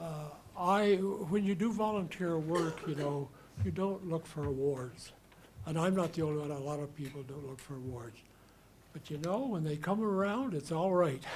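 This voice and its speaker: There is noticeable background noise and audible room echo as a man with a fairly high pitch speaks at a moderate pace with lively intonation. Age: 60s. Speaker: volunteer receiving community award. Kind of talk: acceptance speech. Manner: halting.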